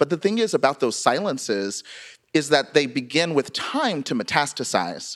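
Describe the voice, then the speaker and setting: On a very clean recording with a silent background, a man with an American accent speaks at a moderate pace and fairly high pitch, with very wide pitch swings. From US South. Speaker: writer, memoirist. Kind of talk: live interview. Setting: stage with audience.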